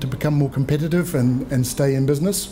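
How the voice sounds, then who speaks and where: With a New Zealand accent, a man speaks fairly quickly at a fairly high pitch over light background noise. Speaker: trade agency regional manager; presenter. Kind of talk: seminar presentation. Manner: fast. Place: meeting room. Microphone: podium.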